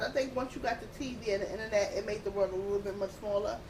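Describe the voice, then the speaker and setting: A woman with a New York accent at a very fast pace, over noticeable background noise. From Queens, New York City. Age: 30s. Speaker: podcast guest. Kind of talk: casual chat. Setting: at the beach.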